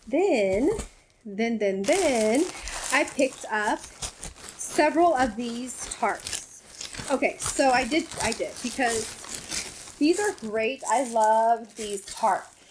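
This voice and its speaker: A woman speaks at a very slow pace in a high pitch. Noticeable background noise is present. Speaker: YouTuber. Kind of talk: casual chat. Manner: friendly, chatty.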